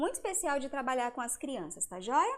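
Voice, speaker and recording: A woman speaks in a warm tone at a high pitch. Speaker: educator presenting homeschool materials. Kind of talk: live stream lecture. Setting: live stream. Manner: warm, conversational.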